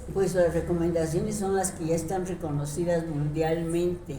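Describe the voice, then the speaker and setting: Fairly low in pitch, a woman speaks at a fairly slow pace with fairly even intonation. Audible room echo surrounds her voice. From Mexico City. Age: 80s+. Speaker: retired teacher and leftist activist. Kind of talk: interview. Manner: halting, many fillers.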